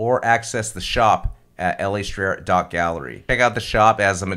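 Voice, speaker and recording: A man speaks with a bright, sharp tone and ordinary pitch variation. Vocal fry runs through his voice. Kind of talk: casual interview. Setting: video call. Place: home room. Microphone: studio mic.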